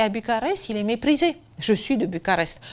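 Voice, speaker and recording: A woman with a Romanian accent speaks at a moderate pace and fairly high pitch with lively intonation. The recording is very clean, with a silent background. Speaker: biographer. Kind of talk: interview. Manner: hesitant, with many fillers.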